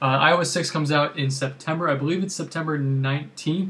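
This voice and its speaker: A man's very fast speech, fairly high in pitch, with fairly even intonation. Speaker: tech YouTuber. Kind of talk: casual video recap.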